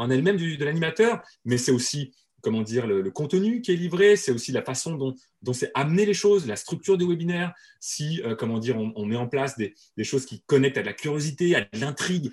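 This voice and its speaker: With a somewhat breathy, fairly high voice, a man talks at a fairly quick pace through very wide pitch swings. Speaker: webinar and marketing trainer. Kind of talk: interview. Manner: fast.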